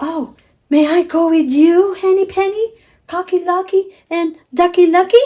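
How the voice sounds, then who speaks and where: In a put-on character voice, a woman squeaks at an extremely high pitch and a moderate pace. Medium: read story.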